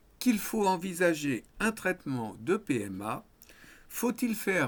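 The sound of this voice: A man speaks at a fairly high pitch. His tone is fairly bright.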